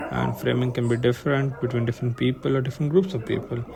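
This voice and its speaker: There is noticeable background noise as a man speaks with an Indian accent. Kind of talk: video essay narration. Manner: casual, conversational; slight stutter.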